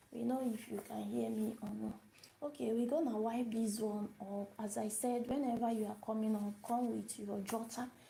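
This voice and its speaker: The speaker keeps a moderate pace and fairly even intonation, with noticeable background noise. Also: woman, fairly high pitch for a woman. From Nigeria. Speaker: language teacher. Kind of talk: live-stream language lesson. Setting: live video stream. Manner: repetitive, hesitant with fillers.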